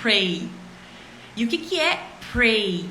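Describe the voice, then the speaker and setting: A woman with a fairly high pitch amid audible room echo and noticeable background noise. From Brazil, interior of Minas Gerais. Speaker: English teacher. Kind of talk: online English lesson livestream. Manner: animated, many filler words.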